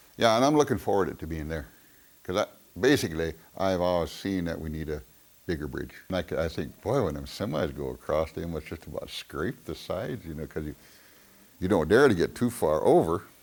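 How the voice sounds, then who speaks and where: Very deep and low, a man's voice moves at a fairly quick pace with lively intonation. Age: 70s. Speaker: local resident in oral history interview. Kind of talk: oral history interview. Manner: halting.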